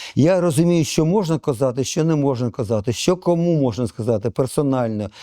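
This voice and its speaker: A man speaks at a moderate pace in a fairly high, dark and mellow voice with lively intonation. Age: 70s. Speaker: retired journalist. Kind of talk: interview. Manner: halting, with hesitations.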